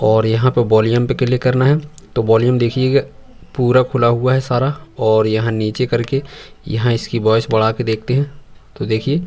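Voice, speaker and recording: A man at a fairly slow pace, in a flat, monotone delivery. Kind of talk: tutorial. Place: workshop.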